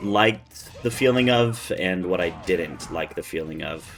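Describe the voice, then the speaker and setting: Music plays in the background while a man speaks. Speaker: gaming video creator. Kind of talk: gameplay commentary. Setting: recording away from home. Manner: quiet, talking low. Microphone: slight echo on the mic.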